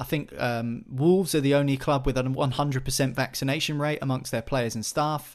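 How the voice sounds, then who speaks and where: A man talks at a fairly quick pace with an unremarkable speaking voice. The background is quiet. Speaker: podcast host. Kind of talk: casual chat.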